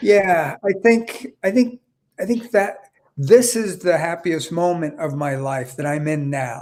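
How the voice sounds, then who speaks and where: A man speaks at a very slow pace with a high pitch. His intonation is lively. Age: 60s. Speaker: business consultant. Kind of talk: interview. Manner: halting.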